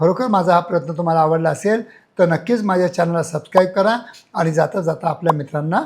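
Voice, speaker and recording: The voice is a man's, pitched high. Its pitch variation is ordinary. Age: 60s. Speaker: sexologist doctor. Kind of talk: educational health talk to camera.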